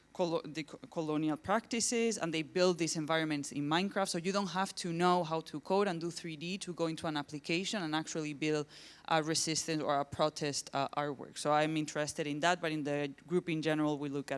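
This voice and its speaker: With hardly any pauses, a woman speaks in a Spanish accent at a very deep, low pitch on a very clean recording with a silent background. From southern Spain, Granada. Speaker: academic researcher and artist. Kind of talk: conference presentation. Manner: hesitant, many fillers.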